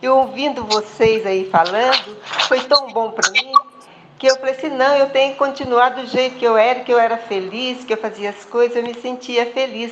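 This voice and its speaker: Over noticeable background noise, a high-pitched woman speaks at a moderate pace with fairly even intonation. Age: 80s+. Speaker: participant in an online group meeting. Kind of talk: personal testimony.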